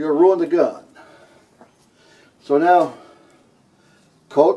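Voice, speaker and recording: The voice is loud, with a dark, mellow tone, and moves at a very slow pace. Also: man. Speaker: bus restorer. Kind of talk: tutorial. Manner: halting.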